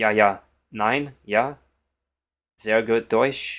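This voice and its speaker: With fairly even intonation, a man speaks in a fairly low pitch on a very clean recording with a silent background. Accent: Polish. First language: Polish. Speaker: chess streamer. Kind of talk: live stream commentary.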